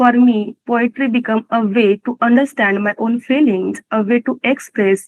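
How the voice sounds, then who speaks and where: Speaking in a Marathi accent, a woman uses a fairly high voice, fairly even intonation and a fairly slow pace. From India, Maharashtra (Pune). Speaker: poet and office employee. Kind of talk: prepared talk at a company event. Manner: halting, with restarts.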